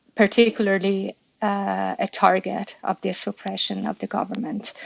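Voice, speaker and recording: A woman speaks with a Persian accent. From Iran. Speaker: activist speaker. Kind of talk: live audio room discussion. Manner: halting, many fillers.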